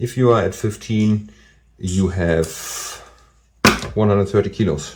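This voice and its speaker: Speaking at a fairly slow pace with long, frequent pauses, a man with a non-native accent has a fairly low pitch, a dark, mellow tone and fairly even intonation. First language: not English. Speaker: DIY bike mechanic youtuber. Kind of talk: tutorial. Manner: hesitant, many fillers.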